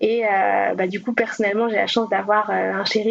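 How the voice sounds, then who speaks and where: Background noise is noticeable here. Through it, a woman's fairly high voice comes through. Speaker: speech therapist. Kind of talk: podcast interview.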